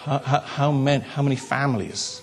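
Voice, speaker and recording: Over noticeable background noise, a man speaks with a South Wales Valleys accent. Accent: South Wales Valleys Welsh English. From Wales, South Wales Valleys. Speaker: pastor. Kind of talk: sermon. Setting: church. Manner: halting.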